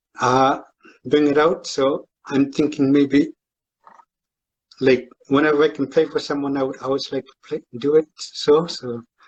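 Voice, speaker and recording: A man with a Canadian Arctic accent, fairly high-pitched, monotone and flat, at a fairly slow pace. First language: Inuktitut. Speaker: fan and amateur guitarist. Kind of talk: casual live stream chat. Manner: halting.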